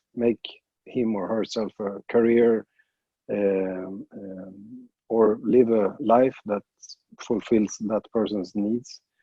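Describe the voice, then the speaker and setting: Speaking very slowly with a Swedish accent, a man with fairly low pitch keeps a monotone, flat intonation. His loudness swings widely. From Sweden. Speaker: jiu jitsu coach. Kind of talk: interview. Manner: halting, many fillers and restarts.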